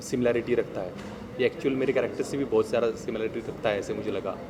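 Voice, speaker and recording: A man with a Marathi accent at a moderate pace, over noticeable background noise. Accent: Marathi accent in Hindi. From Maharashtra, Bhor near Pune. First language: Marathi (speaking Hindi). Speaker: actor. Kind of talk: press event interview.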